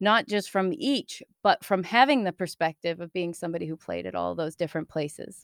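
A woman with an American accent speaks at a moderate pace in a fairly low pitch, with an unremarkable speaking voice. The recording is very clean and dry, close with no echo, over a silent background. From US East Coast. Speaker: improv comedian and theater founder. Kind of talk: casual interview.

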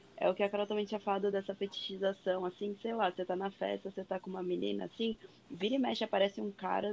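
A woman at a very fast pace, her intonation fairly even. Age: 20s. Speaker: medical student. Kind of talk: casual chat.

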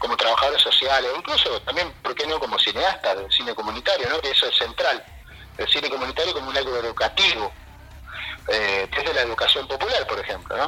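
A man's fairly quick delivery comes through. Behind him, noticeable background noise persists. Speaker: social worker and community filmmaker. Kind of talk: interview.

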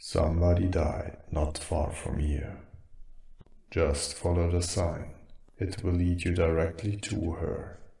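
A put-on character voice, whispering and breathy, at a fairly slow pace, with audible echo. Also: man. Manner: ominous, haunting.

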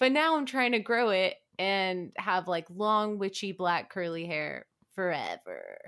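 A woman uses an ordinary speaking voice at a medium pitch and a fairly slow pace, with lively intonation. The recording is very clean, with a silent background. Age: 20s. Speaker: podcast co-host. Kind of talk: casual chat.

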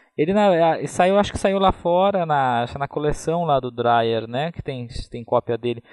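A man with an unremarkable speaking voice talks at a fairly high pitch. His pace is fairly slow and his intonation lively. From Brazil, interior of São Paulo state (Taubaté). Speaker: film curator and critic. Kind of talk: casual chat.

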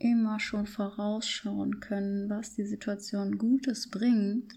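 Somewhat breathy and fairly high-pitched, a woman speaks very slowly in a monotone, flat intonation. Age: 30s. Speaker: podcast host and personal growth coach. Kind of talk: reflective monologue. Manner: unscripted, spontaneous.

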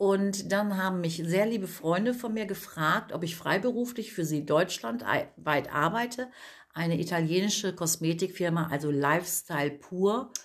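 A normal speaking voice from a woman, medium in pitch, moderately paced, with ordinary pitch variation. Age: 50s. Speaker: cosmetics entrepreneur, women's network founder. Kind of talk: casual interview chat.

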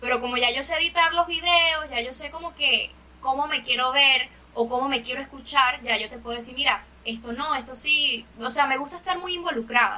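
In a Venezuelan accent, a woman speaks at a fairly quick pace in a raised, projected voice, high in pitch with ordinary pitch variation. Her loudness swings widely, and background noise is noticeable. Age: 20s. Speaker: singer. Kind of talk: casual chat.

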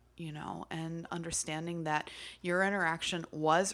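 Here is a woman with an ordinary speaking voice, fairly low in pitch, with fairly even intonation at a moderate pace. The recording is very clean, with a silent background. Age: 40s. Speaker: podcast co-host, witchcraft practitioner. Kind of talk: casual chat.

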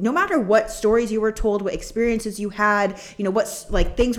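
Against noticeable background noise, a woman with a fairly high pitch speaks in an energetic tone at a moderate pace. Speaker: podcast co-host and coach. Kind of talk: casual chat.

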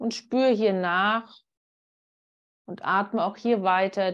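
A woman speaks at a very slow pace and medium pitch. Her intonation is fairly even, and the background is quiet. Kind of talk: guided meditation. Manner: soft, slow, soothing, with pauses.

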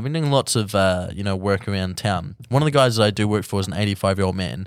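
Lively intonation and a very fast pace come through in a New Zealand accent. The sound is dry and close with no echo, on a very clean recording with a silent background. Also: man. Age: 20s. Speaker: musician. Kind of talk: casual chat.

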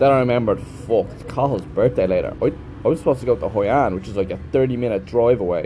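A man at medium pitch with an Irish accent, against noticeable background noise. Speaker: teacher. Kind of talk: casual monologue.

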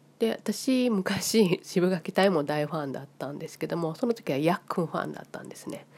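A woman with a Kansai accent speaks at a moderate pace, her pitch fairly low and her intonation lively. Her loudness swings widely, and she hardly pauses at all. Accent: Kansai Japanese. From Japan, Osaka (Kansai). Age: 50s. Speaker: vlogger. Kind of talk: casual monologue.

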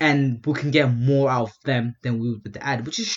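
A somewhat breathy man at a moderate pace. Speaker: podcast co-host. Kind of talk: casual chat, banter.

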